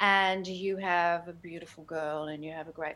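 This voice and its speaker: A woman speaks at a moderate pace in a fairly low voice with a bright, sharp tone. Her intonation stays monotone and flat. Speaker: celebrity hairstylist and hair care brand founder. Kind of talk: interview. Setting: video call.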